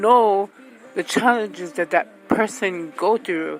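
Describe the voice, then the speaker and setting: Music plays in the background as a woman speaks at a very slow pace, her medium pitch showing ordinary variation. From Hawaii. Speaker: radio host. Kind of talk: casual monologue. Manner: loud.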